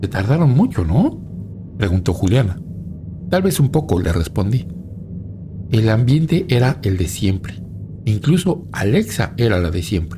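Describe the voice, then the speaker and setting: A man speaks at a fairly low pitch and a fairly slow pace, with very wide pitch swings. His long, frequent pauses sit over noticeable background noise. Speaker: horror story narrator. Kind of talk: scripted ghost story narration, first-person horror tale.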